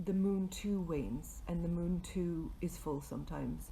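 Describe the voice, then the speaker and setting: A woman talks at a fairly slow pace. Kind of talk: casual talk to camera. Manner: hesitant, many filler words.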